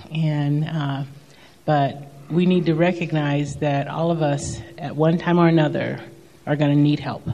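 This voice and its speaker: The speech comes at a rather unhurried pace, with clear noise audible behind it. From Kentucky, rural southeast. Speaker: social worker. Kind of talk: testimony.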